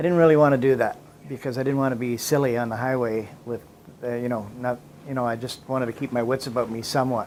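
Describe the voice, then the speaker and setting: Speaking at a very fast pace, a man with a Canadian accent uses a medium pitch and fairly even intonation. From Canada, Toronto. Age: 60s. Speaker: facilities manager sharing recovery story. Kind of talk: personal testimony. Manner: halting, many fillers and repetitions.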